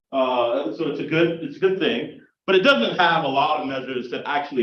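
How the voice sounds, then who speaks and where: With a normal speaking voice and an American accent, the speaker talks at a fairly quick pace with lively intonation. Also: man. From US South, South Carolina. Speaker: political science professor. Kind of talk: lecture. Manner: conversational, frequent fillers and repeats.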